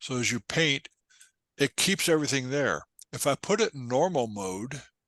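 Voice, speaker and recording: In a dry, close sound with no echo and a quiet background, a man with a normal speaking voice talks at a moderate pace, fairly high in pitch and lively in intonation. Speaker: photography instructor. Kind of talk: tutorial. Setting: talk to a photo club.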